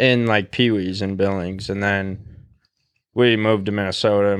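With an American accent, a man in an unremarkable speaking voice talks at a moderate pace, with a fairly low pitch and fairly even intonation. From Montana. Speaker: podcast guest. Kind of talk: casual chat.

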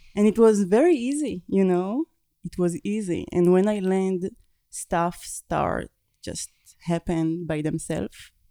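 Dry and close with no echo, the voice has a dark, mellow tone, ordinary pitch variation, and a fairly slow pace. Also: woman, medium pitch for a woman. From Israel. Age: 30s. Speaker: visual artist and tattooist. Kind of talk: interview.

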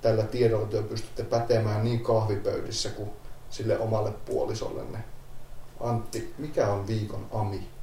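A man speaks at a moderate pace at a medium pitch, with a dark, mellow tone and a somewhat breathy quality. His intonation is monotone and flat, and audible echo fills the room. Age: 30s. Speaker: paramedic. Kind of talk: casual chat.

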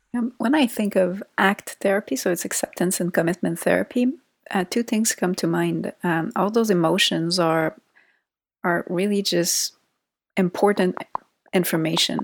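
A woman speaks with a Quebec accent. The sound is dry and close, with no echo. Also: medium pitch for a woman, ordinary pitch variation, moderate pace, very clean recording, silent background. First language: French. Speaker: psychologist. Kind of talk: interview conversation.

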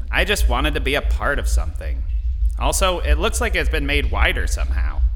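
Putting on a character voice, a man talks at a fairly quick pace over clear background noise. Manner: earnest, wounded.

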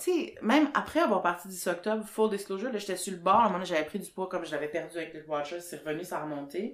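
Moving at a fairly quick pace, a woman's voice carries lively intonation. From Quebec, Sherbrooke. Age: 30s. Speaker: podcast host, journalist. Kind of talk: casual chat.

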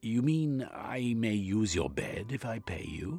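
A man's slow, put-on character voice, fairly low in pitch with big pitch swings, vocal fry and a slightly husky edge, over faint background music

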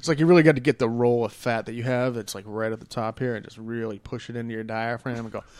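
A man talks at a very fast pace with hardly any pauses, his loudness swinging widely while his intonation stays fairly even. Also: medium pitch for a man. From Las Cruces, New Mexico. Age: 30s. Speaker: podcast host. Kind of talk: casual chat.

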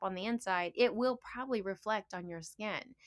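A woman's unremarkable speaking voice at a moderate pace with ordinary pitch variation, on a very clean recording with a silent background. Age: 50s. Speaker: naturopathic doctor and teacher. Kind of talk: casual chat.

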